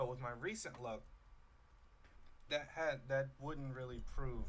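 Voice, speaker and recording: Room echo is audible in this clip. The man speaking keeps a moderate speed. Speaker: gaming youtuber. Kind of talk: let's play commentary. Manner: soft-spoken; halting.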